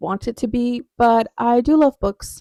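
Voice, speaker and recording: A woman with a fairly high pitch and a dark, mellow tone speaks at a moderate pace in a dry, close sound with no echo. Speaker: book vlogger. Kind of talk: casual chat. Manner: soft-spoken; loud. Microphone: new clip-on microphone.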